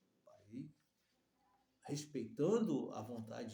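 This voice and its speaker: A man's very slow delivery, dark and mellow in tone, with very wide pitch swings. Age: 60s. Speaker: preacher. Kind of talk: sermon. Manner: halting.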